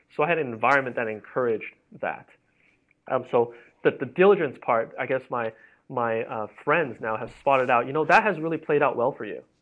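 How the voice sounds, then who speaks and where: A man with an ordinary speaking voice, medium pitch, ordinary pitch variation, and a fairly quick pace. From Hong Kong and Canada. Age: 30s. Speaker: entrepreneur and startup advisor. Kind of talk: podcast interview. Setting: office.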